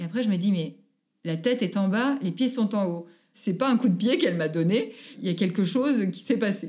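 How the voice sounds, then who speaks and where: In a very clean recording with a silent background, a woman with a medium-pitched, somewhat breathy voice talks at a fairly quick pace with lively intonation. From France, Haute-Savoie (Annecy). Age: 30s. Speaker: mother telling her birth stories. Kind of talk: interview testimony.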